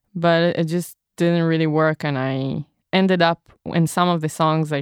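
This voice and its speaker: A woman with an Israeli accent speaks at a very deep, low pitch with fairly even intonation. The sound is dry and close with no echo, over a quiet background. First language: Hebrew. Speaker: recorder player and singer-songwriter. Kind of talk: interview.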